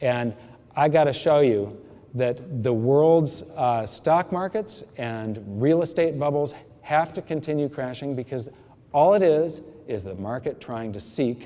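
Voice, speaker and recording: Speaking in an unremarkable speaking voice, a man keeps a medium pitch, ordinary pitch variation and a fairly slow pace. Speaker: financial seminar speaker. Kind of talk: lecture.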